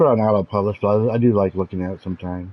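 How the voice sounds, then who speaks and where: A man speaks very fast in a fairly low voice, his intonation fairly even. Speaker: gaming streamer. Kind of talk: gameplay tutorial. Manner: loud; casual, halting with fillers.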